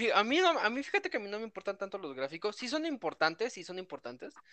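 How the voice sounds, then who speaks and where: Against a quiet background, a man with a Mexican accent talks at a fairly quick pace, his high-pitched voice bright and sharp in tone. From Mexico. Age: 20s. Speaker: video game fan. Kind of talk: casual chat.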